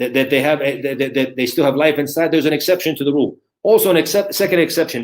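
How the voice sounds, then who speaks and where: A man speaks with an American accent in a plain, everyday voice. His pitch is fairly high, with ordinary variation. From USA. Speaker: Islamic scholar and lecturer. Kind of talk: religious lecture.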